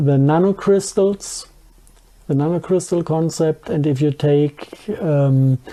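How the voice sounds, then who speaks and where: Very slowly, the speaker talks in a strong German accent. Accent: thick German. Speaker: conspiracy researcher. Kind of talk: interview. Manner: halting.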